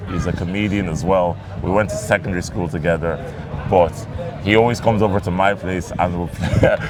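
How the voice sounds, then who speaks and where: Very deep, low male voice at a fairly quick pace with fairly even intonation, over music in the background and audible room echo. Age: 20s. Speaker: comedian. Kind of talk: casual chat.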